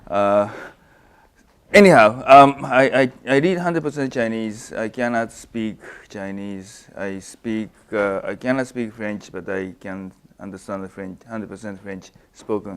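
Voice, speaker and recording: The speaker has a Japanese accent and a fairly slow pace with ordinary pitch variation. Loudness swings widely, and the recording is very clean with a silent background. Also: man, fairly low pitch for a man. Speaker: finance professor. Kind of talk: academic seminar talk. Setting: lunch seminar with student audience. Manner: halting, many fillers and restarts.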